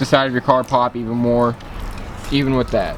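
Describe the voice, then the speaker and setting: Noticeable background noise sits under a man's voice. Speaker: car enthusiast YouTuber. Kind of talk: casual vlog tutorial. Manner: halting, many fillers.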